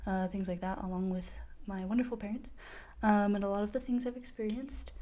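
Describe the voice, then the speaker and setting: This woman has a dark, mellow tone and speaks with an American accent. Room echo is audible in the recording. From Idaho, US. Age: 20s. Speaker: podcaster, college student. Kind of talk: casual monologue podcast. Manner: hesitant, many fillers.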